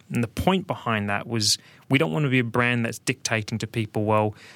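Speaking at a medium pitch with ordinary pitch variation, a man talks with a New Zealand accent. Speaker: business executive guest. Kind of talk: casual chat. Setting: studio.

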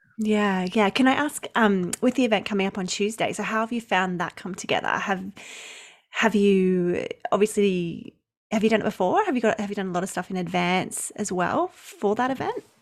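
A woman with an Australian accent speaks at a medium pitch. She keeps a moderate pace with ordinary pitch variation. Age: 30s. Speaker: maternity leave coach. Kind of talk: casual chat.

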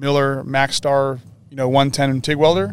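A man with an American accent speaks in a normal speaking voice at a medium pitch and moderate pace. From Northern California. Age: 40s. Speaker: race car fabricator. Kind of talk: casual interview. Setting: outdoors at a desert race event.

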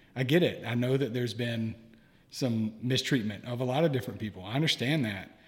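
A man's somewhat breathy voice moves at a fairly quick pace, holding a medium pitch with ordinary pitch variation. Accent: American. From US South. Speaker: guest, therapist-in-training and podcaster. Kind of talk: casual interview conversation.

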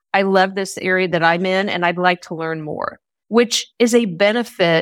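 At a moderate pace and medium pitch, a woman with a Midwestern American accent is heard in a dry, close sound with no echo and a very clean, silent background. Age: 50s. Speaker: business leader. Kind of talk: interview.

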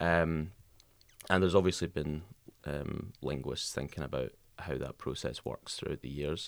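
With long, frequent pauses, a man talks at a moderate pace in a very deep, low voice with vocal fry and ordinary pitch variation. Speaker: linguistics student. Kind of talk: casual chat. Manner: many filler ums.

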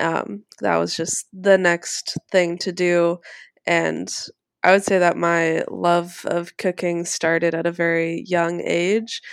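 A woman speaks very slowly in a fairly low pitch, with fairly even intonation. The recording is very clean against a silent background. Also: dry, close sound with no echo. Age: 20s. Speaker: chef and cooking teacher. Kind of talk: interview.

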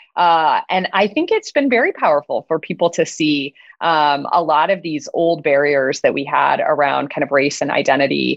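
A woman speaks at a moderate pace with hardly any pauses. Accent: American. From US Midwest. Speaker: biotech CEO. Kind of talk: interview.

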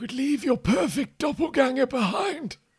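A man's put-on character voice at an extremely high pitch and a moderate pace. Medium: actual play. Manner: earnest, eager.

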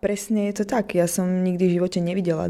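A woman is speaking. Background noise is noticeable behind her. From eastern Slovakia, Prešov. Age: 20s. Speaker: singer. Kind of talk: radio interview.

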